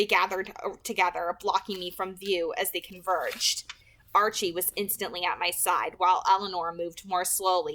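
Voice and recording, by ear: A natural voice reading aloud.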